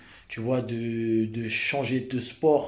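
Audible room echo around a man's fairly even, medium-pitched speech. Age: 30s. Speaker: Muay Thai fighter. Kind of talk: casual chat.

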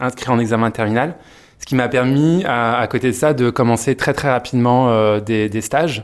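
Using fairly even intonation, a man speaks at a medium pitch and a moderate pace. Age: 30s. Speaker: PR agency co-founder. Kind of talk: interview. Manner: hesitant, many fillers.

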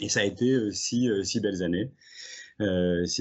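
The man's voice has ordinary pitch variation and sits fairly low. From southeastern France, Drôme. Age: 40s. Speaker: intellectual property lawyer. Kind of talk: interview. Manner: hesitant, many fillers.

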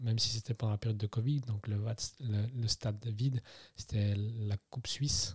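Heard on a very clean recording with a silent background, a man's somewhat breathy voice sits at a medium pitch, going at a moderate pace with fairly even intonation. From Switzerland, Neuchâtel. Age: 30s. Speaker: football referee. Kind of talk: interview.

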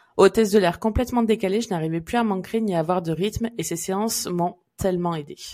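Talking at a fairly quick pace with hardly any pauses, a woman uses a plain, everyday voice at medium pitch with ordinary pitch variation. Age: 30s. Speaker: podcast host, Chinese medicine therapist. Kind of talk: casual chat; scripted intro. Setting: around hot drinks.

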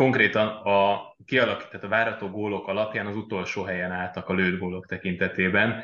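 The tone is bright and sharp, the pace fairly quick. Intonation stays monotone and flat. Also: man. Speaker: sports journalist. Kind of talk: casual football discussion.

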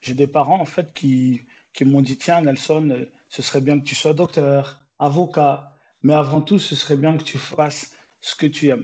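A man's dark, mellow, somewhat breathy voice, fairly high in pitch, with fairly even intonation at a fairly slow pace. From France, Besançon and Paris suburbs (born in Angola). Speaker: entrepreneur, food show producer. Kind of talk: interview. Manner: hesitant, many fillers.

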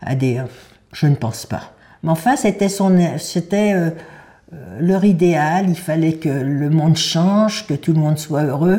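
Speaking very slowly with long, frequent pauses, a woman has a dark, mellow tone, fairly low in pitch, with ordinary pitch variation. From Paris, France. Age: 90s. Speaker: Holocaust survivor. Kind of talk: testimony. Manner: halting.

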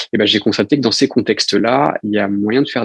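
The man's voice sits at medium pitch, with ordinary pitch variation and a fairly quick pace. The sound is dry and close, with no echo. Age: 20s. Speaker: founder of an expedition and coaching venture. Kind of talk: interview. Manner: hesitant.

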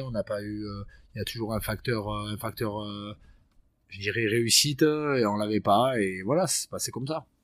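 A man with a fairly low pitch talks at a moderate pace with ordinary pitch variation on a very clean recording with a silent background. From French Basque Country (Bayonne area). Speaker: professional rugby player. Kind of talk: casual interview chat. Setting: rugby club training centre. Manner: halting, many hesitations.

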